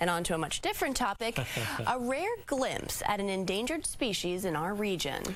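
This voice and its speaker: Over noticeable background noise, a woman with an American accent talks at a moderate pace with very wide pitch swings and hardly any pauses. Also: medium pitch for a woman. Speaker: television news anchor and investigative reporter. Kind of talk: TV news anchor delivery.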